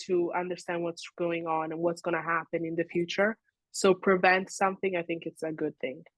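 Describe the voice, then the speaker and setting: A woman with an Italian accent speaks at a fairly low pitch and a moderate pace, her intonation fairly even. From Italy, raised in Switzerland. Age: young. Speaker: social media creator. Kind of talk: interview.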